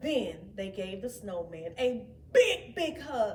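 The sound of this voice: A woman at medium pitch with big pitch swings and a slow pace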